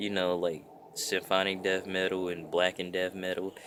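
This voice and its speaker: The voice sits very deep and low. It belongs to a man. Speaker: metal vlogger. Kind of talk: casual explanatory vlog. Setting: outdoors. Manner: casual, rambling with fillers.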